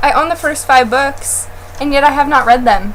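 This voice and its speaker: Against noticeable background noise, a woman speaks at a fairly quick pace in a high voice. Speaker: book blogger. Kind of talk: casual chat. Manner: loud.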